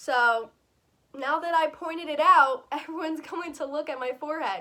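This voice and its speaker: A raised, projected voice with a bright, sharp tone comes through. It moves at a moderate pace with ordinary pitch variation. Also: woman, high pitch for a woman. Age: 20s. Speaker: vlogger. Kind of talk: casual Q&A vlog.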